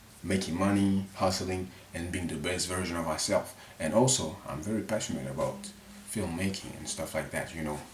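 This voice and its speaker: Against noticeable background noise and audible room echo, a man with a very deep, low pitch speaks at a fairly quick pace. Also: ordinary pitch variation. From Mali. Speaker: vlogger. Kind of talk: casual unscripted monologue to camera. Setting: his bedroom. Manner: halting, self-correcting.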